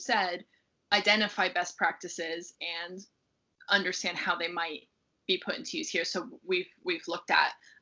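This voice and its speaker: A woman in an American accent speaks at a moderate pace with a medium pitch. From United States. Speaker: research fellow. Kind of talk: interview. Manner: halting, many fillers.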